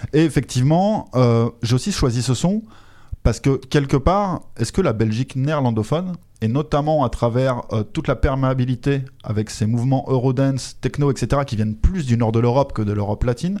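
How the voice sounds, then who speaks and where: This man has a normal speaking voice at medium pitch. He talks at a moderate pace with lively intonation. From France. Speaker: podcast host. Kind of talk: interview; scripted narration.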